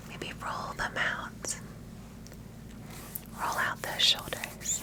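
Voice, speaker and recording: Over noticeable background noise, a voice whispers. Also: woman. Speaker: grief support host and meditation guide. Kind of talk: guided meditation. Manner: calm, soothing, slow-paced.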